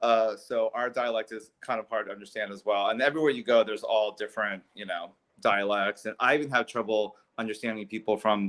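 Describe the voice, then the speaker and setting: Here a man with an ordinary speaking voice talks at a medium pitch and a fairly quick pace, with fairly even intonation. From US, child of Italian immigrants, summers in Italy. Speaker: Italy trip organizer. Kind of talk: casual chat. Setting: live stream video call.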